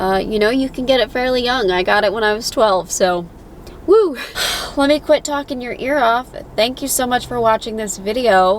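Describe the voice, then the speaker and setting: A woman with an American accent speaks at a moderate pace in a fairly high pitch, with ordinary pitch variation and noticeable background noise. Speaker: patient vlogger. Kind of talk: casual vlog.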